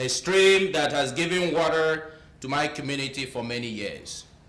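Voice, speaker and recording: With an African accent, a man speaks at a fairly slow pace in a fairly high voice, with audible room echo. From eastern Nigeria. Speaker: climate justice speaker, doctoral student. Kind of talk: talk with a story.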